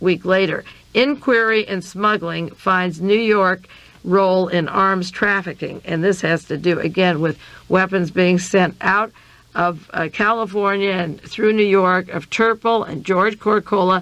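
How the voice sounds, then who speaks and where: A woman speaks with a plain, everyday voice at a medium pitch, keeping a moderate pace and fairly even intonation. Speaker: radio host, conspiracy researcher. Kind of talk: radio monologue reviewing news articles.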